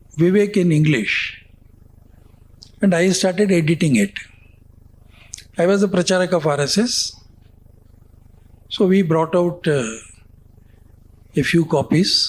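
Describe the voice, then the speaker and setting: A man with a Tamil accent speaks at a high pitch and a fairly slow pace, his loudness very even. He leaves long, frequent pauses. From India. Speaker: former magazine editor. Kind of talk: interview storytelling. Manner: halting, with many fillers.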